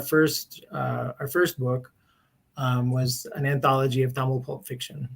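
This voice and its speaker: In a somewhat breathy voice, a man with an American accent speaks at a fairly slow pace. His pitch is medium, with fairly even intonation. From US West Coast, Berkeley, California. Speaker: publisher. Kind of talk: interview. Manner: hesitant, many fillers.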